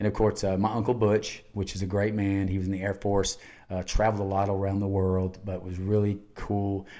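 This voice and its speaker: Talking at a fairly quick pace, a man with a Southern US accent keeps his intonation flat and monotone. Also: fairly low pitch for a man, very clean recording, silent background. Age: 60s. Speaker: podcast host, cancer patient. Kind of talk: casual chat. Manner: halting.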